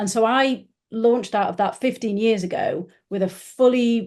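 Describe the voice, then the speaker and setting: A woman speaks with a fairly high pitch and a dark, mellow tone. Her pitch varies in an ordinary way against a quiet background. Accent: northern English. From northern England. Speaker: business founder. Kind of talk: podcast interview.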